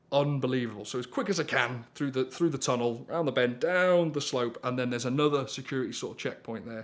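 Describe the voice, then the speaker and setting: A North Welsh accent with fairly even intonation at a fairly quick pace. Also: man. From North Wales. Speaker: storyteller, rally driver. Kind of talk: storytelling anecdote.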